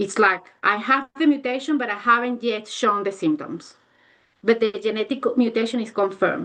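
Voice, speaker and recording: Speaking with a non-native accent, a woman has a fairly high pitch, a bright, sharp tone, ordinary pitch variation and a moderate pace. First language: not English. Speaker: neuropsychologist. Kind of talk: academic Q&A. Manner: halting. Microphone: connection cutting out.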